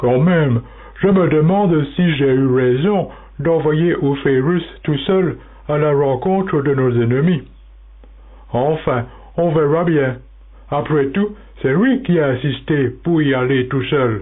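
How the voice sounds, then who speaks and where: A man does a put-on character voice at a fairly high pitch, speaking fairly slowly with long, frequent pauses. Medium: audio drama.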